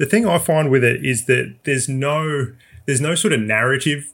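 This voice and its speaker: With an Australian accent, a man talks at a medium pitch with ordinary pitch variation on a very clean recording over a silent background. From South Australia. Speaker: motorsport journalist. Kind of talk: casual chat.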